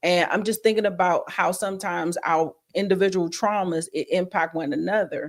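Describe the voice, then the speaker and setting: A woman of medium pitch speaks in a plain, everyday voice at a fairly quick pace, with fairly even intonation and hardly any pauses. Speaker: podcast guest. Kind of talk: casual chat. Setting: live-streamed video podcast.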